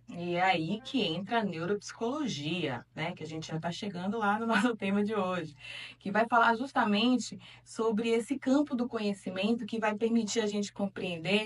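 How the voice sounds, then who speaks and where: Over noticeable background noise, a woman with a northeastern Brazilian accent speaks at medium pitch and a moderate pace with ordinary pitch variation. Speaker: talk show host. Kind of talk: talk show discussion. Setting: studio.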